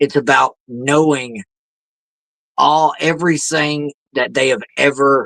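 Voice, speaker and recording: A man's voice comes across in a bright, sharp tone with a dry, close sound and no echo. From Louisiana. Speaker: indie wrestler. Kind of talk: podcast interview answer.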